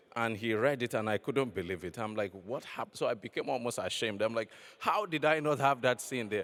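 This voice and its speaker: A man with a Nigerian accent at a fairly quick pace, on a very clean recording with a silent background. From Nigeria, west. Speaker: novelist. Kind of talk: panel discussion. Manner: halting, many fillers and repetitions.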